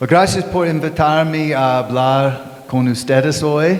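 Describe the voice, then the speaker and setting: A man speaks very slowly in a fairly high pitch with fairly even intonation. Audible room echo and noticeable background noise surround him. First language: English (speaking Spanish). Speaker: pastor and author. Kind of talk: conference talk with interpreter. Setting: live audience at a bookstore. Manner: short phrases paused for interpreter.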